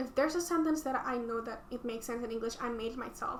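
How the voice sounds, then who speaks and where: A woman speaks with an Indonesian accent at a high pitch. Background noise is noticeable. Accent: non-native English, Indonesian. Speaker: student vlogger. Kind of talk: reading aloud own essays with commentary. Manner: hesitant, many fillers and restarts.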